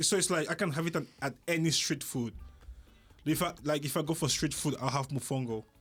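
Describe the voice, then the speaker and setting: Music is playing in the background. A man speaks at a fairly high pitch with ordinary pitch variation. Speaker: podcast host. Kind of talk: podcast host talk. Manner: playful, animated.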